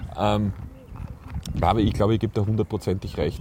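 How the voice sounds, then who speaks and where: A man talks very fast at a fairly low pitch. Background noise is noticeable. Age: 40s. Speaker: podcast host, photographer. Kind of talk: casual chat. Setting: outdoors on a park bench. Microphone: mobile mic without windscreen.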